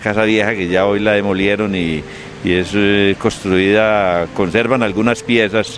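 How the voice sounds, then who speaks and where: There is noticeable background noise. A man speaks at a fairly low pitch. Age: 60s. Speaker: local elder, interviewee. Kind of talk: oral history interview. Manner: halting, many fillers.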